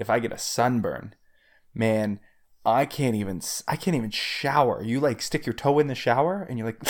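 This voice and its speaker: Against a silent background in a very clean recording, a man uses an ordinary speaking voice at a medium pitch. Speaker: podcast co-host. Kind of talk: casual chat.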